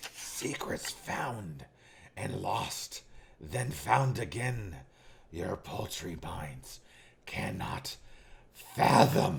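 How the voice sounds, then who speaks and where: Putting on a character voice, a man speaks with a very deep, low pitch at a very slow pace, his pitch swinging very widely between long, frequent pauses. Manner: ominous, grand.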